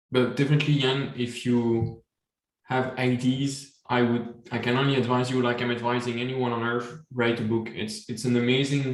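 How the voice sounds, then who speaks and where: A man's medium-pitched, flat monotone at a moderate pace, in a French accent. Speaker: supply chain author and webinar host. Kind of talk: casual chat.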